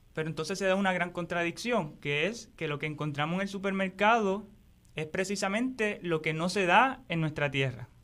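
Bright and sharp in tone, a man speaks at a high pitch. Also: ordinary pitch variation, moderate pace. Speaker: agroecology teacher. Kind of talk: interview. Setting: studio.

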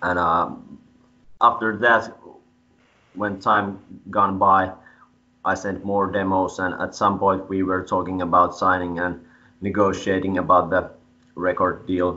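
In a Finnish accent, a man talks with a very deep, low pitch and monotone, flat intonation. His pace is fairly slow, with long, frequent pauses. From Finland. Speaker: metal band frontman; interviewee. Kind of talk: interview. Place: home room. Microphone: video call.

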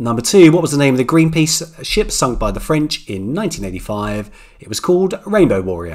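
A man with a medium pitch talks at a fairly quick pace, his pitch swinging widely.

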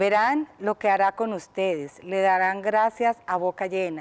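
A woman talks in a clear, smooth tone at a medium pitch. She goes at a fairly slow pace with ordinary pitch variation.

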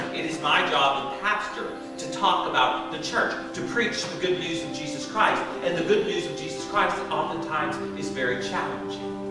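A man talks at a moderate pace with audible room echo and clear music playing in the background. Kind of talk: sermon. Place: church.

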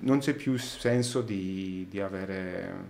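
In a dark, mellow tone, a man speaks with fairly even intonation. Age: 30s. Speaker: sound engineer; podcast guest. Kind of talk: casual chat. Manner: halting. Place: studio. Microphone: studio mic.

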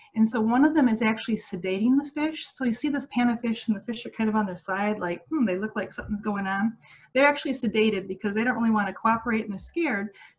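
Talking at a very fast pace, a woman uses ordinary pitch variation. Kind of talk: online educational presentation. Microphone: webcam.

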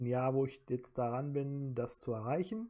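A man holds a medium pitch and talks at a very slow pace. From Germany, Solingen (North Rhine-Westphalia). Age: 30s. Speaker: quiz show applicant. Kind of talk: self-presentation video.

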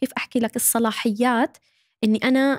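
Against a quiet background, a woman speaks in a high pitch. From Saudi Arabia, Syrian-Jordanian family. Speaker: social media manager and content creator; guest. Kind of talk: casual chat. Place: studio. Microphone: studio mic.

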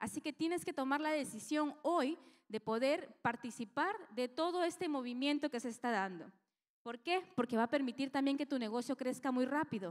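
The background is quiet. The pace is moderate. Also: woman, high pitch for a woman. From Lima, Peru. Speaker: network marketing businesswoman; presenter. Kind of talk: business presentation. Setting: stage with audience. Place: hall. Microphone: handheld.

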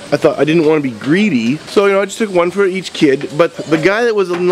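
There is light background noise and a dry sound without echo. A man speaks in a high voice with lively intonation. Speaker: vlogger and parent; vlogger. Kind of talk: casual vlog narration. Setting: car and home center store.

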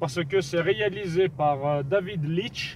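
A man with ordinary pitch variation, a dry sound with no echo and noticeable background noise. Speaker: film vlogger. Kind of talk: casual vlog chat. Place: car. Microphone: phone near.

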